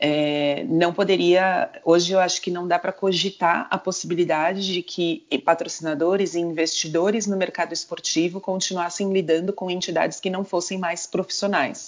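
A woman's fairly low voice at a moderate pace, flat and monotone, with hardly any pauses. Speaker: sports marketing executive and entrepreneur. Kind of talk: interview.

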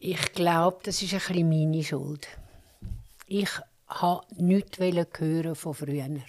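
A woman speaks very slowly in a fairly low pitch. Her intonation is fairly even, broken by long, frequent pauses. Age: 70s. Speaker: interviewee telling her life story. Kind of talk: life story interview.

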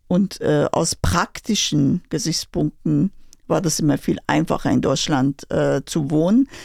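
A woman talks at a very slow pace with very even loudness, in a dry, close sound with no echo. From Iran, Tehran. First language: Persian (speaking German). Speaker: Iranian emigrant, former pharma professional. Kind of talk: interview. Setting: studio.

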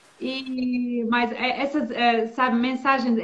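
A woman's high-pitched voice with a Bosnian accent. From Bosnia and Herzegovina. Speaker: former diplomat. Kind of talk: interview. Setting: video call.

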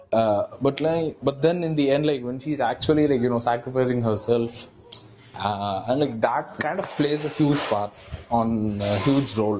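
Over noticeable background noise, a man with a medium-pitched voice talks at a moderate pace with ordinary pitch variation. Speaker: podcast host. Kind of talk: casual chat. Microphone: breaking connection.

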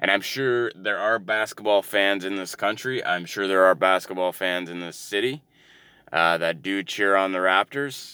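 A man with a Canadian accent speaks at a moderate pace in a fairly low voice. His tone is bright and sharp, and the recording is very clean with a silent background. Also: ordinary pitch variation. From Canada, Ontario. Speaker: solo podcaster. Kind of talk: casual monologue. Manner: mumbling; hesitant, many fillers.

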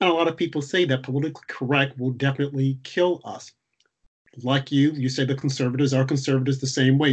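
A man with an American accent speaks very fast at a medium pitch, his voice somewhat breathy and his intonation fairly even. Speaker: podcast host. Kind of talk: interview.

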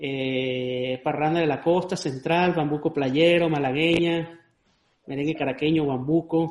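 Pitched fairly high, a man with an unremarkable speaking voice talks at a fairly slow pace with fairly even intonation. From Venezuelan Andes. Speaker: podcast host and cuatro player. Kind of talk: casual chat.

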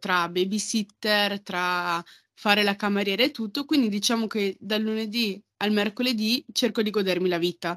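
Recorded very cleanly with a silent background and a dry, close sound with no echo, a woman with an unremarkable speaking voice talks at medium pitch, a moderate pace, and fairly even intonation. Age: 20s. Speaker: podcast guest. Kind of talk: casual chat.

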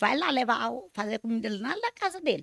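With very wide pitch swings, a woman speaks in a dry, close sound with no echo. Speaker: public speaker, mother of a singer. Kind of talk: casual chat.

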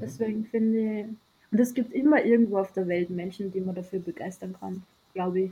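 A woman's dark, mellow, somewhat breathy voice at a medium pitch, with ordinary pitch variation and a fairly quick pace. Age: 30s. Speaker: sailor. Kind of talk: interview.

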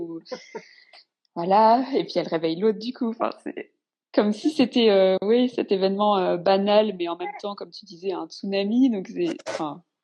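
Moderate-speed speech from a woman, medium in pitch, with ordinary pitch variation. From northern France. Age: 30s. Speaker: mother sharing birth story. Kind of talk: personal testimony.

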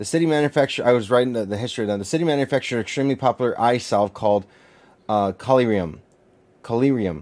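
Here a man speaks at a very fast pace. His pitch is medium, with ordinary pitch variation. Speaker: pastor. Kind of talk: Bible study teaching. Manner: halting.

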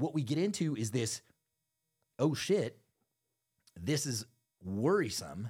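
Pausing long and often, a man speaks in an animated, angry tone at a medium pitch, somewhat breathy, with very wide pitch swings. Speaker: podcast host. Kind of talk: casual banter podcast chat, profane rant. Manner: animated, rapid, angry, ranting with swearing.

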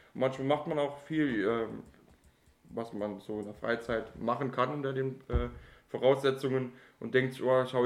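A man's normal speaking voice holds a medium pitch and fairly even intonation, moving at a moderate pace. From Saarland, Germany. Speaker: podcast co-host. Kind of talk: casual chat.

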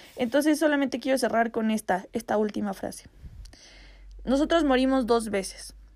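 Her tone animated, a woman speaks at a moderate pace with a fairly high pitch and ordinary pitch variation. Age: 20s. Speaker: podcast host. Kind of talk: casual monologue.

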